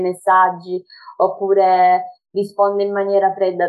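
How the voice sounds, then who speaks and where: In a normal speaking voice, the woman goes at a moderate pace. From Sicily. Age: 20s. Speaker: social media page admin and dance teacher. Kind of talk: casual interview.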